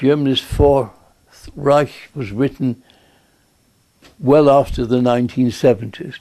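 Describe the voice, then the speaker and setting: The voice has a dark, mellow tone and fairly even intonation. Long pauses come often. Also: man, medium pitch for a man, fairly slow pace. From England, Bristol. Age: 90s. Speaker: war veteran. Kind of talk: lecture. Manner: formal.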